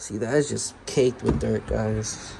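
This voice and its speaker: Noticeable background noise runs under the voice. Its pitch variation is ordinary. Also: man. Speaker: car enthusiast vlogger. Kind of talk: DIY tutorial vlog. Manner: casual, slangy; occasionally stuttering.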